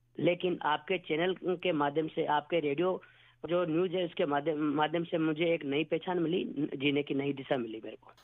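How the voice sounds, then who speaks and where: The intonation stays fairly even, with hardly any pauses. Loudness swings widely from moment to moment. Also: man. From Rajasthan, village near Pushkar. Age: 40s. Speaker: wildlife conservationist, radio listener. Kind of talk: radio listener phone-in testimony. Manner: halting.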